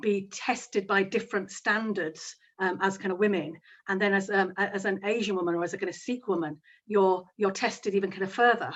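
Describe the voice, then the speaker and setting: A woman with a Yorkshire accent, medium-pitched, with fairly even intonation. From Yorkshire, northern England. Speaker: barrister. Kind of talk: panel discussion.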